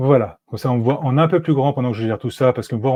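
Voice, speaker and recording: A man at a very fast pace with ordinary pitch variation. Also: quiet background. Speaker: no-code automation consultant; guest. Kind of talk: live-streamed software tutorial. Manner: hesitant, many fillers. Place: home room. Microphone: earbuds.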